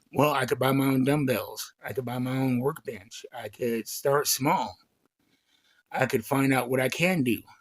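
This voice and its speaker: Using an ordinary speaking voice, a man talks at a fairly slow pace with fairly even intonation. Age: 40s. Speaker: chronic pain vlogger. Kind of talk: casual talk to camera.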